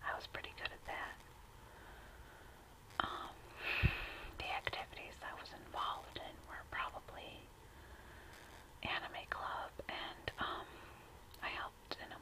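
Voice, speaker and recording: Whispering with an American accent, a woman speaks at a fairly slow pace with long, frequent pauses over noticeable background noise. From United States. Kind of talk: casual talk to camera. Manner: whispered, soft.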